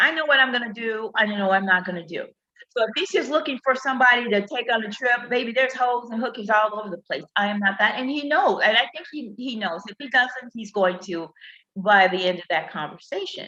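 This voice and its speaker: A woman talks fairly quickly in an animated tone, her fairly high voice carrying lively intonation and big swings in loudness. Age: 50s. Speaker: relationship talk livestreamer. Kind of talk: casual chat. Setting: live stream.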